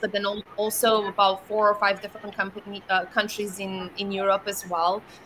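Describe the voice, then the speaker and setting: Noticeable background noise runs under the recording. A woman speaks at a moderate pace in a medium-pitched voice. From Romania. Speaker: startup founder. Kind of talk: fireside chat. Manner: animated.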